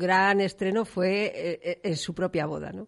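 A normal speaking voice at a fairly slow pace, ordinary pitch variation, and a quiet background. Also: woman. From León, Spain. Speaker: novelist. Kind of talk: radio interview.

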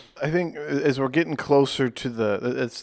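An unremarkable speaking voice belongs to a man with an American accent and ordinary pitch variation. He talks at a fairly slow pace on a very clean recording with a silent background. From Charlotte, North Carolina. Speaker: sports podcast co-host. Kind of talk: casual chat.

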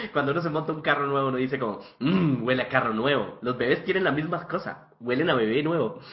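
Audible room echo surrounds a man with a fairly high pitch. He moves at a fairly quick pace, his pitch varying in an ordinary way. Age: 20s. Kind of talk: casual chat.

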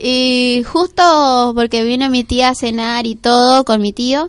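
Over music in the background, a woman speaks with a high pitch. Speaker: radio host. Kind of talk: casual radio talk.

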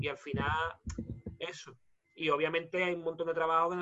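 A man speaks in a high voice at a moderate pace. His intonation is flat and monotone. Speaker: cleaner. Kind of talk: casual chat. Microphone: mic problems, audio over phone.

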